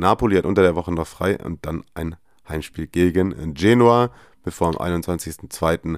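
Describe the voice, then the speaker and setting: A man's very deep, low voice at a fairly slow pace, dry and close with no echo, in a very clean recording over a silent background. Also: ordinary pitch variation. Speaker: football podcast host. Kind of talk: casual chat.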